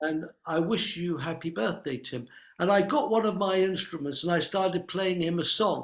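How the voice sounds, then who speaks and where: With a high pitch for a man and ordinary pitch variation, he talks at a moderate pace. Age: 70s. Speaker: medicine man and drummer. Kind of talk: casual interview chat. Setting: video recording surrounded by drums.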